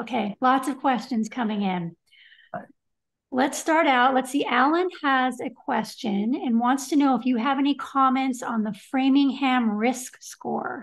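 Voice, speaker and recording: A woman's high voice at a fairly slow pace, with ordinary pitch variation and a quiet background. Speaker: show host. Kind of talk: live stream Q&A moderation. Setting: video call. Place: home room. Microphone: webcam.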